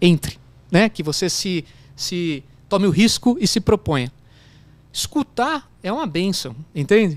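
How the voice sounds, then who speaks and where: A man with a slight São Paulo accent, his high pitch making very wide swings, at a fairly slow pace with long, frequent pauses. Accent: slight countryside São Paulo. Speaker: business executive, CEO. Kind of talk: interview answer. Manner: casual, hesitant.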